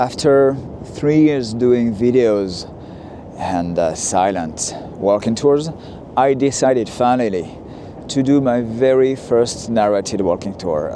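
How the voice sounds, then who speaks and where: Noticeable background noise sits behind a man talking at a medium pitch. His intonation is lively and his pace fairly slow. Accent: French. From France, Lyon. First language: French. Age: 40s. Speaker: walking tour vlogger. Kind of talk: narrated walking tour. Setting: outdoors, walking. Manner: hesitant, many fillers.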